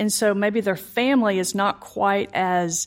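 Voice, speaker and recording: Here a woman uses a normal speaking voice at a fairly slow pace, with fairly even intonation. The recording is very clean against a silent background. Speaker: insurance company employee and adoptive mother. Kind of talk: interview testimony.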